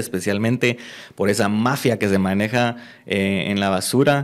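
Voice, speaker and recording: A man talks with an unremarkable speaking voice at a fairly low pitch. His pace is moderate, his intonation fairly even, and the background quiet. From Guatemala. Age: 20s. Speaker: mayoral candidate; candidate. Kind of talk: interview. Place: studio. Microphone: studio mic.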